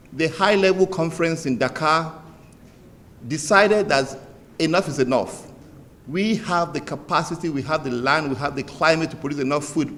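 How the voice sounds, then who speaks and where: Audible room echo surrounds a man with a fairly high pitch. He speaks at a moderate pace with ordinary pitch variation. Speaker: development bank director. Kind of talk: formal speech. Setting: conference opening ceremony. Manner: soft-spoken.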